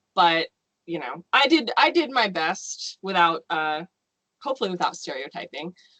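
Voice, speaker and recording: With an American accent, a woman talks at a moderate pace in a bright, sharp tone, her fairly low pitch swinging very widely, in a dry, close sound with no echo. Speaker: novelist. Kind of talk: casual chat.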